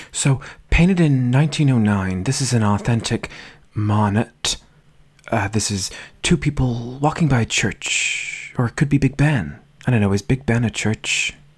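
A man talks at a moderate pace in a somewhat breathy voice with lively intonation. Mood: dry, mock-serious.

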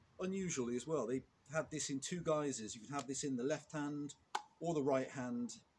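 The somewhat breathy voice moves at a moderate pace with ordinary pitch variation over noticeable background noise. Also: man. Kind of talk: tutorial. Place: open country. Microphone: camera far.

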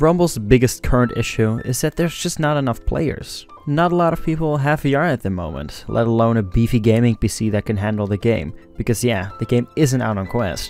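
A man at a fairly quick pace with hardly any pauses, music in the background. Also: lively intonation, dry sound with no echo. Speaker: gaming youtuber. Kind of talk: commentary.

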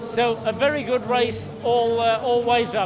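A man is speaking. Noticeable background noise is present. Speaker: race commentator. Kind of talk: commentary.

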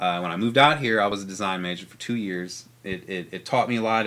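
A man talks at a very fast pace with hardly any pauses, at a fairly low pitch. His tone is bright and sharp, and his loudness swings widely. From St. Charles, Missouri, US Midwest; Missouri. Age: 30s. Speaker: artist and photographer; podcast guest. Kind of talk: casual chat. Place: studio. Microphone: studio mic.

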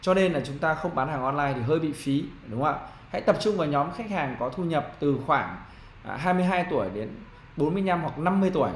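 Lively intonation marks a man's fairly high voice at a fairly quick pace. Audible room echo and light background noise are present. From Vietnam. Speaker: marketing trainer; business marketing trainer. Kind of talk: online business tutorial. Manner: conversational, frequent fillers. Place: home room. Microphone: webcam.

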